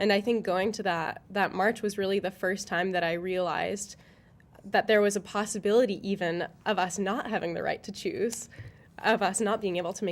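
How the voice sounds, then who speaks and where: Using a plain, everyday voice, a woman talks at a medium pitch and a moderate pace with fairly even intonation. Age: 20s. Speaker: community volunteer. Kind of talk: panel discussion.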